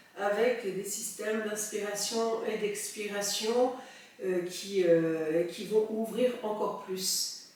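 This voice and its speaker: Amid noticeable background noise, a woman with a calm tone speaks at a very slow pace, medium in pitch and fairly even in intonation. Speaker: soprano singer and breathing teacher. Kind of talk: guided breathing exercise. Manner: calm, slow.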